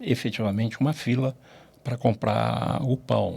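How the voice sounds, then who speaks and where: Speaking at a fairly slow pace, a man has a medium pitch and vocal fry. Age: 70s. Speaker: finance executive. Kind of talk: interview. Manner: animated.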